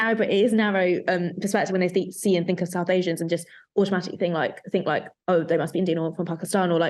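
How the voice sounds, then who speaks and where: Over a quiet background, a woman speaks very fast in a London accent at a medium pitch. Her intonation is monotone and flat, and her loudness stays very even. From London, England. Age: young. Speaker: photographer. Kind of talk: casual chat.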